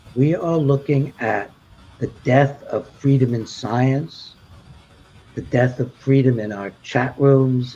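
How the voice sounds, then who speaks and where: A man speaks very slowly in a dark, mellow tone, somewhat breathy. His pitch is medium. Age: 80s+. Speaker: doctor, panel expert. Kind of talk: panel discussion closing remarks. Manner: halting.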